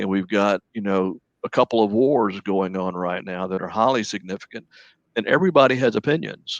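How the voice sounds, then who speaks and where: An ordinary speaking voice from a man, fairly low in pitch with ordinary pitch variation, dry and close with no echo, against a quiet background. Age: 60s. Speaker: licensed professional counselor. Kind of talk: radio interview.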